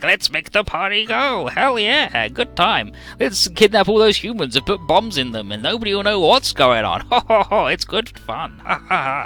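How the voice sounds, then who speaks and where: A man puts on a squeaky character voice at a high pitch, with clear music playing in the background. He keeps a moderate pace with hardly any pauses. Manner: jolly and gleeful; laughing.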